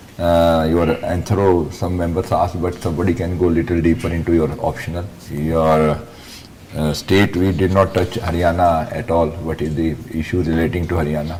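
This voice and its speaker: With an Indian accent, a man talks at a moderate pace in a very deep, low pitch, his intonation fairly even over noticeable background noise. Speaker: interview board member. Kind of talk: feedback on mock interview.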